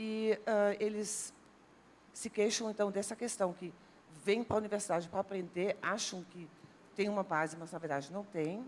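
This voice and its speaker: At a moderate pace, a woman with a medium pitch and fairly even intonation talks with long, frequent pauses and big swings in loudness. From Netherlands, near German border. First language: Dutch (speaking Portuguese). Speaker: university language professor. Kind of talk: TV talk show panel discussion.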